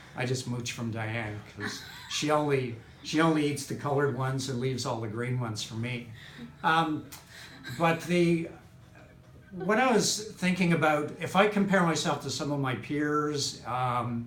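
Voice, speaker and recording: Lively intonation in a Canadian accent, with audible room echo. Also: man, fairly high pitch for a man, moderate pace. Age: 60s. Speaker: chiropractic patient. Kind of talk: testimonial interview. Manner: halting, many fillers.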